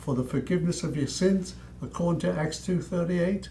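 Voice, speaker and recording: Vocal fry marks this voice with an American accent, heard with audible room echo. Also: man. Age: 90s. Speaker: preacher, war veteran. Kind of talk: sermon. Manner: fiery, admonishing.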